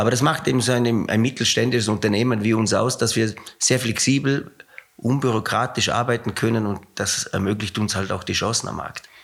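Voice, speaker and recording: Noticeable background noise surrounds a man speaking at a medium pitch with fairly even intonation. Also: fairly quick pace. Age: 60s. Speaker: company CEO, former rowing coach. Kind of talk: interview.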